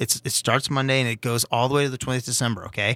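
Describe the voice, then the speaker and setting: A man speaks at a medium pitch with a bright, sharp tone, recorded very cleanly against a silent background with a dry, close sound and no echo. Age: 40s. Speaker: sandwich shop owner. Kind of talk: casual chat.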